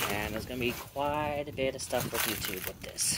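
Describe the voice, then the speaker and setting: The pace is moderate, with light background noise underneath. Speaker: explorer vlogger. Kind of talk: casual vlog chat. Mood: joking, lighthearted. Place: farm machine. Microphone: phone near.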